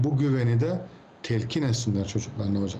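Amid audible room echo, a man's somewhat breathy voice carries a dark, mellow tone at medium pitch with ordinary pitch variation. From Cyprus. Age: 40s. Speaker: technology expert. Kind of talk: interview.

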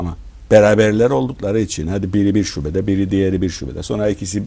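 A man speaks at a very deep, low pitch. His tone is dark and mellow, and he sounds somewhat breathy. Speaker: business owner; interview guest. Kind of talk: interview; interview answer. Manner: hesitant, many filler sounds. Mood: relaxed, warm storytelling. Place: studio. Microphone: lapel.

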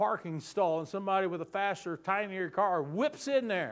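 An animated man with a slight Southern US accent, high pitch, ordinary pitch variation, and a quiet background. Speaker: pastor. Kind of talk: sermon. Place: church.

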